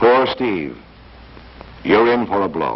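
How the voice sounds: A man puts on a character voice with a low pitch and vocal fry. He talks at a slow pace with big pitch swings.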